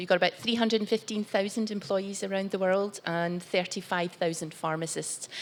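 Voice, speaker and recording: A woman with a Glaswegian accent at a fairly quick pace, with hardly any pauses and fairly even intonation. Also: medium pitch for a woman. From Scotland, Glasgow. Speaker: corporate executive on panel. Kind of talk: panel talk.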